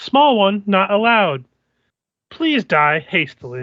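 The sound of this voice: A put-on character voice sits at a middle pitch with very wide pitch swings. The pace is fairly slow.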